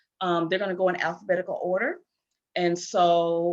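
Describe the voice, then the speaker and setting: Here is a plain, everyday voice: a woman at a medium pitch, talking at a moderate pace. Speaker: event host. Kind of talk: presentation.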